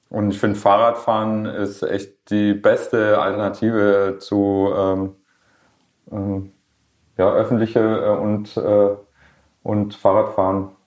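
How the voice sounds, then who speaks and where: Against a quiet background, a man with a fairly low pitch speaks very slowly in a flat monotone, leaving long, frequent pauses. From Swabia, Germany (Schorndorf near Stuttgart). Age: 40s. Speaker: rapper. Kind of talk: casual interview. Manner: hesitant, many fillers.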